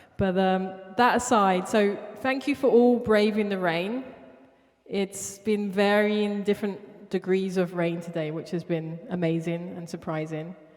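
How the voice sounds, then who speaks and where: Amid noticeable background noise, a woman with a South London accent speaks fairly slowly at a medium pitch with ordinary pitch variation. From Southeast London. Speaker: artist. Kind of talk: spoken word performance. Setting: studio with live audience. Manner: repetitive, rhythmic.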